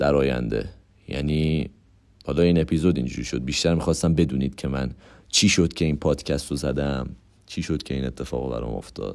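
A man talks on a very clean recording with a silent background. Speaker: podcast host. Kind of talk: casual monologue. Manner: rambling fast talk; stammering at times.

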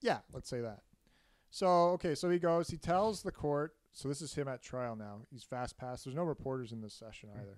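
With a plain, everyday voice, a man talks at a fairly quick pace, his intonation lively and his loudness swinging widely. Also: medium pitch for a man. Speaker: podcast host telling a murder story. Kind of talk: casual comedic storytelling chat. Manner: joking, playful.

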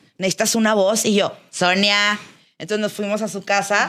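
Her tone is bright and sharp. This woman speaks at a medium pitch and a fairly quick pace. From Monterrey, northern Mexico. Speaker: podcast contributor. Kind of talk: casual chat.

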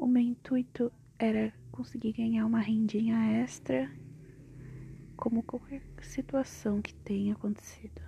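A woman at a fairly slow pace with long, frequent pauses. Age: 20s. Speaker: podcaster. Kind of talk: personal monologue.

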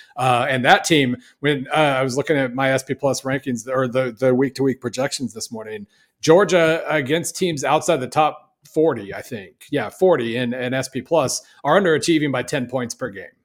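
Here a man uses an ordinary speaking voice with an American accent, talking at a moderate pace with ordinary pitch variation on a very clean recording with a silent background. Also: medium pitch for a man. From Oklahoma. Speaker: college football analyst and writer. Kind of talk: casual sports podcast chat.

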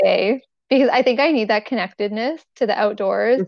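A woman with a normal speaking voice keeps a moderate pace, her pitch varying in an ordinary way. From Toronto, Canada. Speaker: food allergy advocate and cookbook author. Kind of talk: casual interview chat.

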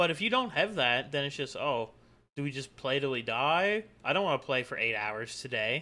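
A man with an ordinary speaking voice and a fairly high pitch talks at a moderate pace with lively intonation. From Canada. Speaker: gaming streamer and podcast co-host. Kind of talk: casual chat.

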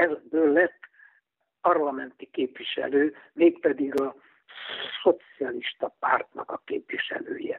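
A man speaking at a very slow pace. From Budapest, Hungary (Rákospalota). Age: 90s (80s+). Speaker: retired hiking association official. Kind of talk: interview.

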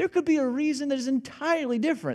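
Speaking at a fairly quick pace, a man with a Midwestern American accent is heard on a very clean recording with a silent background. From Illinois. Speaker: pastor. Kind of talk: sermon. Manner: animated.

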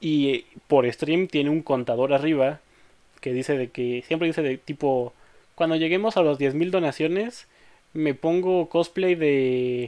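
Dark and mellow in tone, a fairly high-pitched man's voice moves at a fairly slow pace with long, frequent pauses. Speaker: podcast host. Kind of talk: casual chat.

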